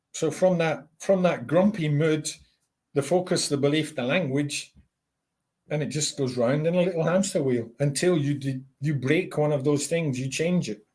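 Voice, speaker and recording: A man talks at a moderate pace in a somewhat breathy, fairly high voice with ordinary pitch variation. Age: 60s. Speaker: life coach. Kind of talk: interview conversation.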